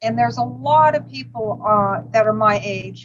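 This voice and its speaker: A woman with an American accent, at a fairly slow pace. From US West Coast, Los Angeles. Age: 60s. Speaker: vegan restaurant owner. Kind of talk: interview. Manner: halting, with many fillers.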